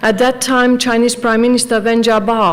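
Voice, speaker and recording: Audible room echo and noticeable background noise. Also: woman. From Serbia. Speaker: professor. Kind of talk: conference talk. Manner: halting, many fillers.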